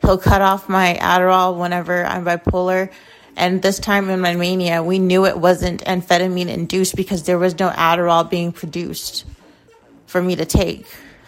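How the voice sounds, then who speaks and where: This woman's voice has medium pitch and a monotone, flat intonation. Her pace is moderate. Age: 20s. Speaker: podcast host. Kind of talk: casual monologue.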